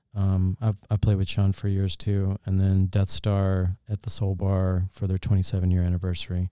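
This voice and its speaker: Very deep, low in pitch and dark, mellow in tone, a man talks in a monotone, flat intonation at a moderate pace with hardly any pauses. The sound is dry and close with no echo, on a very clean recording with a silent background. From North Carolina (Fayetteville), raised in Augusta, Georgia. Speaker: restaurant owner and musician. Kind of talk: casual interview. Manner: relaxed, uses many fillers.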